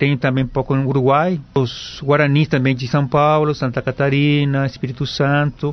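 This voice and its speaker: At a moderate pace, a man speaks with hardly any pauses in a fairly high pitch. His intonation is monotone and flat. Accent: Paraguayan. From Paraguay, Asunción. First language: Guarani (speaking Portuguese). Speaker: Guarani language professor. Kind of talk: radio interview. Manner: halting.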